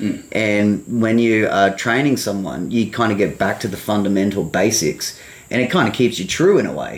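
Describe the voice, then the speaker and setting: Speaking in an Australian accent, a man has a fairly low pitch with ordinary pitch variation. He keeps a moderate pace. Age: 30s. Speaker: podcast host, lawn care business owner. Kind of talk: casual chat.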